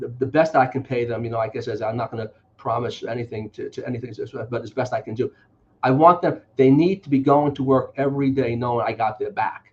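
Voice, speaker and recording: A man with a New York accent talks at a very fast pace, somewhat breathy, at a medium pitch with ordinary pitch variation and big swings in loudness. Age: 60s. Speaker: politician. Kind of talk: interview.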